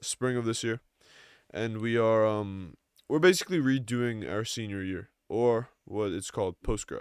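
A man with a plain, everyday voice and an American accent, medium in pitch with ordinary variation, at a fairly slow pace, in a dry, close sound with no echo on a very clean recording with a silent background. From US, Long Island, New York. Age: young. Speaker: podcast host, post-grad student. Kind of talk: casual chat.

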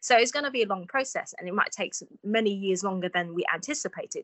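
At a moderate pace, a woman with an East London accent speaks with very wide pitch swings. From East London, England (born in Vietnam). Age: 40s. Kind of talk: casual interview.

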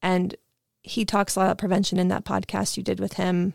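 Fairly quick speech with vocal fry in a very clean recording with a silent background. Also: woman, dry, close sound with no echo. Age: 40s. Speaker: physician. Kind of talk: casual chat.

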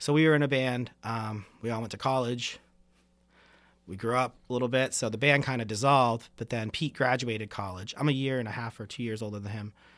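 A man with an American accent and an ordinary speaking voice talks at a fairly quick pace, keeping a medium pitch and fairly even intonation. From Maine, US. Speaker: drummer. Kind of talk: casual chat.

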